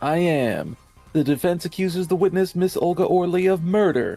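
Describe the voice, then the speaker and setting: Faint music plays in the background. A man uses a high-pitched, put-on character voice. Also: moderate pace. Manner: cheerful, upbeat.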